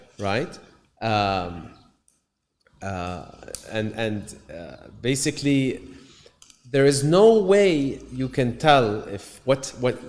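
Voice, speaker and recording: At a very slow pace and medium pitch, a man speaks with very wide pitch swings, big swings in loudness, and long, frequent pauses. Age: 30s. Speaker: musician and entrepreneur. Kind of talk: casual conversation. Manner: halting, many fillers and repetitions.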